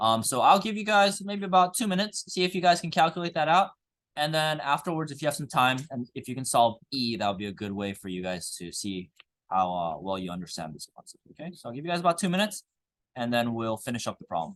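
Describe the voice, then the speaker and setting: Talking at a very fast pace, a man with a fairly high pitch makes very wide pitch swings and big jumps in loudness over a quiet background. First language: Korean. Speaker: high school chemistry teacher. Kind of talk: classroom lecture. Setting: classroom with students. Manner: casual, filler-heavy.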